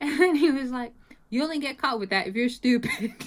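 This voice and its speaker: A woman is speaking. She has a slight British accent. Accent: slight British tinge. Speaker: mixed martial arts fighter. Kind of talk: interview. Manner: halting, many repetitions and fillers.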